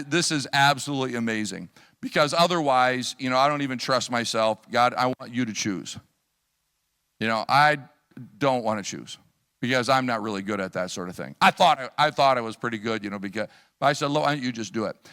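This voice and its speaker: With a US Midwestern accent, a man talks at a medium pitch and a fairly quick pace, his tone bright and sharp. His pitch varies normally, and the recording is very clean with a silent background. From US Midwest, Chicago area / Wisconsin. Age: 60s. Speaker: missionary preacher. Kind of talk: sermon with personal testimony. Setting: church service. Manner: conversational, with many fillers.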